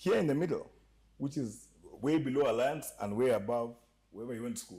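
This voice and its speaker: A man's dark, mellow voice at a fairly quick pace, with lively intonation and big swings in loudness. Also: medium pitch for a man. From Kenya. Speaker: entertainment industry guest. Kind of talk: casual podcast chat. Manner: animated.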